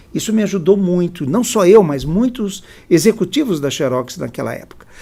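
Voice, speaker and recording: Lively in intonation and high in pitch for a man, he talks at a moderate pace. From São Paulo state, Brazil (near Campinas). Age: 70s. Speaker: social impact executive. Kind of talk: interview.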